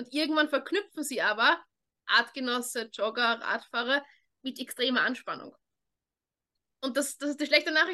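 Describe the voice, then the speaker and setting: A woman's raised, projected voice, high-pitched with a bright, sharp tone, ordinary pitch variation, and a fairly quick pace broken by long, frequent pauses. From Austria, Vienna. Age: 20s. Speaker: dog trainer. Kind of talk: interview.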